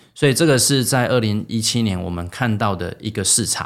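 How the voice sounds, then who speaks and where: Lively intonation from a man with a Taiwanese accent at a fairly quick pace, on a very clean recording with a silent background. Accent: Taiwanese Mandarin. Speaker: startup founder and CEO. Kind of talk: interview.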